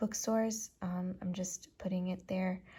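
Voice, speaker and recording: A woman's dark, mellow, somewhat breathy voice. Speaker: author and independent publisher. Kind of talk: casual talk to camera, vlog. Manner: whispered, soft-spoken.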